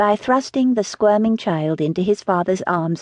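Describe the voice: The intonation moves in a lively way. The delivery is plain reading aloud.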